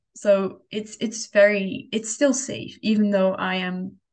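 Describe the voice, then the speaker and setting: A somewhat breathy woman's voice at a medium pitch. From Europe, within driving distance of Denmark. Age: 20s. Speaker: student podcast co-host. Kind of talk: casual chat.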